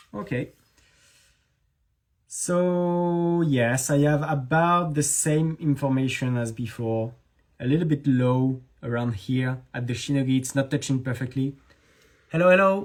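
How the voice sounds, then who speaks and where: Marked by long, frequent pauses, the speaker goes at a fairly slow pace with a slight French accent. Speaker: knife maker. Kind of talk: live stream tutorial chat. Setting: Instagram live stream. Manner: halting.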